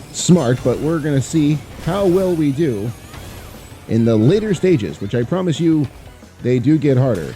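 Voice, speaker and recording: With music in the background, a man speaks at a fairly high pitch and a fairly slow pace, his voice making very wide pitch swings. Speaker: former voice actor, gamer. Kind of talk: casual let's play commentary.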